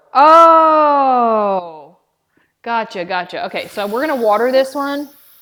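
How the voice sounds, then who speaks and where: A woman speaks loudly with lively intonation in a very clean recording with a silent background. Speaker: live-stream host. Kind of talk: tutorial. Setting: live stream. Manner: casual chatty.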